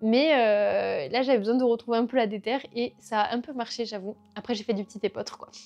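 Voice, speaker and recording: Against a quiet background, a woman talks in a fairly high voice with fairly even intonation. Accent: slight southwestern French. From rural south-west France. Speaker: culture vlogger. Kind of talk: casual monthly favourites vlog. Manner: casual, many hesitations.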